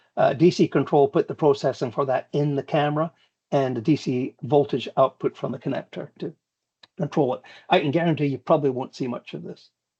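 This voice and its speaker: Fairly quick and somewhat breathy, a man's dark, mellow voice sits at a fairly high pitch with fairly even intonation. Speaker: security instructor. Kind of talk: lecture. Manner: fast; halting, many fillers.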